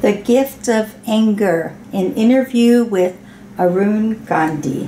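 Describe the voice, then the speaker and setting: Over noticeable background noise, a woman talks at a very slow pace in a fairly high pitch, with ordinary pitch variation. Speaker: interviewer. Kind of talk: interview questions.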